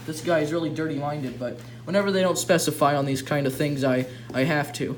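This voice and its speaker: Fairly quick, fairly high-pitched speech from a man, amid noticeable background noise and audible room echo. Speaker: YouTuber reacting to fan fiction. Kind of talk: reading aloud with commentary. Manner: stuttering.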